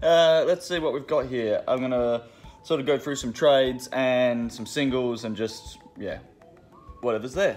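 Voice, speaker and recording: A man speaks at a moderate pace with ordinary pitch variation. Light background noise can be heard. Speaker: comic shop staff. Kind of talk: casual product rundown. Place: shop. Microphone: phone near.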